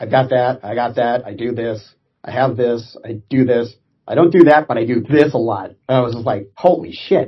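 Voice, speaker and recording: Somewhat breathy, a man with an American accent talks at a moderate pace and medium pitch, with ordinary pitch variation and big swings in loudness. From US West Coast (Orange County, California). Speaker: Navy veteran. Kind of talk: interview.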